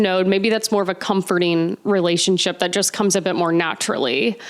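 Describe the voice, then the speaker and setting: The delivery has a moderate pace and fairly even intonation. It is an ordinary speaking voice. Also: woman. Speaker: astrology podcast host. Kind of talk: Q&A monologue. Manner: casual, filler-heavy.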